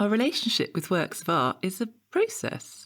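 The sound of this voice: Putting on a character voice, a woman speaks at a moderate pace and medium pitch, her fairly bright tone marked by very wide pitch swings.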